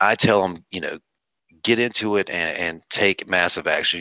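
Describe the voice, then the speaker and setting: A man in a Southern US accent, with monotone, flat intonation and a bright, sharp tone. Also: dry, close sound with no echo, quiet background. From North Carolina. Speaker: real estate investor. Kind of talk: interview. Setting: video call.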